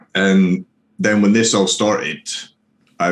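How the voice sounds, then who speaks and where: A man with a Scottish accent, very deep and low in pitch, at a moderate pace. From Scotland. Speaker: streamer and prison officer on leave. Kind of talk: casual interview.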